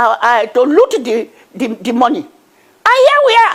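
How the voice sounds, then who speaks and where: This woman has a Nigerian accent. Her pitch swings very widely. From Nigeria, Niger Delta. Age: 80s+. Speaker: activist. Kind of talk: TV news interview. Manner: halting.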